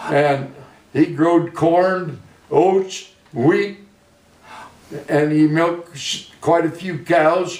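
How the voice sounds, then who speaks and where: A man speaks at a very slow pace with a high pitch and fairly even intonation, in an American accent. Noticeable background noise and audible room echo are present. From US Midwest, central Illinois. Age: 80s+. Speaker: retired farmer. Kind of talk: oral history interview. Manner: halting.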